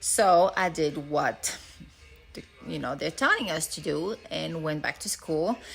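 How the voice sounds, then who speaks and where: A woman with a French accent at a fairly slow pace, music playing in the background. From France. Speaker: nurse turned financial advisor. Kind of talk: casual self-introduction. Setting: storage room at home. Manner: hesitant, many fillers.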